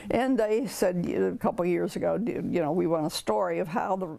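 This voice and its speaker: Speaking at a fairly quick pace, a woman with a medium pitch has a dark, mellow tone and vocal fry. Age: 90s. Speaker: local historian and author. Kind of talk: interview. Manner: halting.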